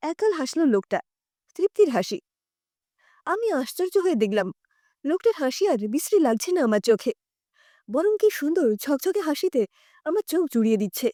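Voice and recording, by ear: A woman with a high pitch and a dark, mellow tone speaks at a moderate pace with big pitch swings and long, frequent pauses, in a dry, close recording with no echo that is very clean against a silent background.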